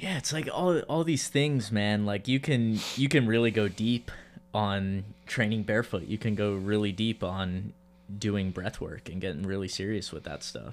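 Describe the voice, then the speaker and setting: This is an unremarkable speaking voice from a man, fairly low in pitch. He keeps a moderate pace with ordinary pitch variation. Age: 20s. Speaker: podcast host. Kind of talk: casual interview chat.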